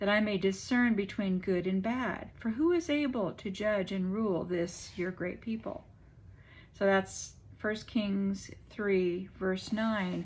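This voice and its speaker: Her voice is somewhat breathy, medium in pitch with ordinary pitch variation. This woman speaks at a very slow pace. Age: 70s. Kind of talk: casual devotional talk to camera.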